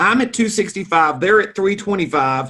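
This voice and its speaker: The voice is raised and projected, with very wide pitch swings and a bright, sharp tone. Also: man. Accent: Southern US. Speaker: real estate financing expert. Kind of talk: interview.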